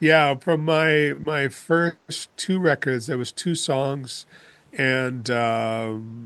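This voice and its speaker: A man with a Canadian accent, fairly high-pitched, very slow, with ordinary pitch variation. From Northern British Columbia, Canada. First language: German. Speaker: rock singer. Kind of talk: interview.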